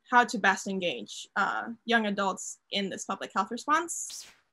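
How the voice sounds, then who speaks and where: Her tone bright and sharp, a woman speaks at medium pitch with fairly even intonation in a very clean recording with a silent background. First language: Spanish. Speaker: college athlete. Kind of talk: interview.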